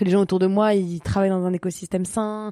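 A woman with a medium pitch and a dark, mellow tone is heard in a very clean recording with a silent background. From eastern Paris, France. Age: 30s. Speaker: social entrepreneur. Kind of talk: interview.

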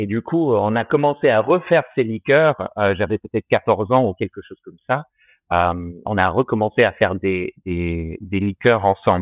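A man's fairly low voice with a slight non-native accent, lively intonation and big swings in loudness. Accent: slight foreign accent in French. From Australia. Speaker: distiller. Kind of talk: interview. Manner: halting, many fillers.

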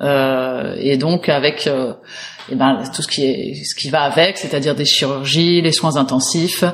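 A woman's very deep, low voice with fairly even intonation over noticeable background noise. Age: 30s. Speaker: movement teacher. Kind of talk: interview testimony.

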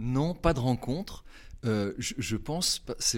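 The recording is very clean, with a silent background. A man talks using lively intonation. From France, Haute-Savoie. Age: 50s. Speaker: communication agency director. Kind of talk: interview, reflective career talk. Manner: hesitant, many fillers and repetitions.

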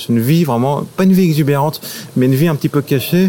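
There is noticeable background noise. A man talks with ordinary pitch variation. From Paris, France. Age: 30s. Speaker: local guide on a city walk. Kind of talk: casual guided walk commentary.

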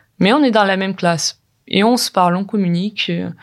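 Fairly slow delivery from a woman at medium pitch. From Ukraine. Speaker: recent graduate. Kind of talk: testimony. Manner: halting.

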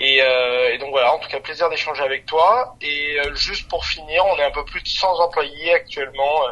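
Noticeable background noise behind a man's fairly high voice, at a moderate pace with ordinary pitch variation. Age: 30s. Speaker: startup founder and CEO. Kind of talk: interview.

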